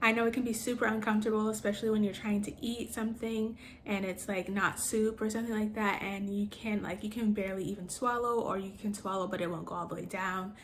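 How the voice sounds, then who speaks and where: Over audible room echo, a woman with an American accent speaks at a fairly high pitch in a monotone, flat intonation. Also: hardly any pauses. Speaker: cancer patient vlogger. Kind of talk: casual product review vlog. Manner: hesitant with frequent fillers.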